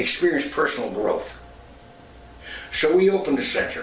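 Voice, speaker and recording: At a moderate pace, a man talks over noticeable background noise, with audible room echo. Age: 70s. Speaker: former radio personality and youth center founder. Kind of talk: personal testimony.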